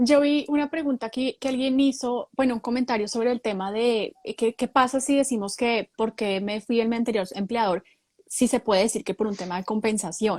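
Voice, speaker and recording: A woman's fairly high voice, a normal speaking voice, with ordinary pitch variation, a moderate pace and a dry, close sound with no echo. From Colombia. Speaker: human resources professional. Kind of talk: live stream interview.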